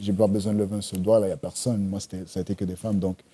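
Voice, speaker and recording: Soft-spoken and dark, mellow in tone, the voice stays monotone and flat, recorded dry and close with no echo in a very clean recording with a silent background. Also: man. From Montreal, Quebec; Panamanian family. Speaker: screenwriter and series creator. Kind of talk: casual podcast interview. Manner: halting, many repetitions; soft voice.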